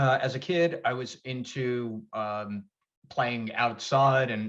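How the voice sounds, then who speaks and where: A man speaks with an American accent and fairly even intonation. The background is quiet. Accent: slight Long Island accent when talking fast. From Long Island, New York. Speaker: fitness program founder, exercise physiologist. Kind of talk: interview. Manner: halting, many fillers and repeats.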